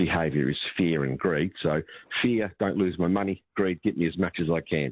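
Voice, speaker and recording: This man has a very deep, low pitch and an Australian accent. His pitch varies in an ordinary way. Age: 60s. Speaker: financial advisor. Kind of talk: radio talkback interview.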